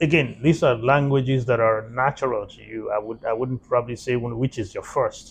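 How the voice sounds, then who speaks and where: Somewhat breathy, a man speaks at a fairly quick pace with fairly even intonation, big swings in loudness and hardly any pauses. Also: medium pitch for a man. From Nigeria. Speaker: interviewer. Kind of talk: interview. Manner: halting, repeats words.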